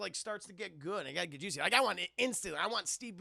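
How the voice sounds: Natural reading voice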